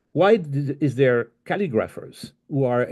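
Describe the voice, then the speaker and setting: In a French accent, a man speaks with a medium pitch and a dark, mellow tone. His intonation is lively, against a quiet background. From France. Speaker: life coach. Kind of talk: recorded talk. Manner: halting.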